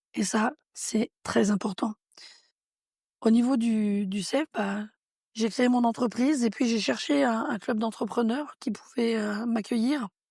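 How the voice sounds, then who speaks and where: In a very clean recording with a silent background, a woman speaks at a very slow pace with long, frequent pauses. Her voice is somewhat breathy and fairly high, the sound dry and close with no echo. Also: ordinary pitch variation. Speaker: entrepreneur. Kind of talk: interview.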